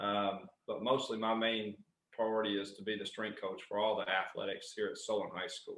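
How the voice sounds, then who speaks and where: The pace is moderate. It is a man talking with a Southern US accent. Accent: Southern US twang. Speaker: strength and conditioning coach. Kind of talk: podcast interview answer. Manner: passionate.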